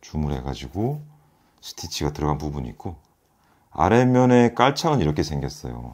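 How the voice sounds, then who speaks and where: In a quiet background, a man with a very deep, low pitch speaks at a moderate pace, his pitch swinging very widely and long, frequent pauses breaking up his speech. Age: 40s. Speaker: product reviewer. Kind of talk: product review. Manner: halting, with fillers and repeats. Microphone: phone near.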